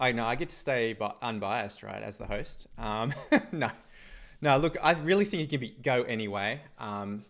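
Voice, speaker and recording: A man's medium-pitched voice with an Australian accent and lively intonation, in a very clean recording with a silent background. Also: moderate pace. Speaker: esports caster. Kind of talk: live commentary.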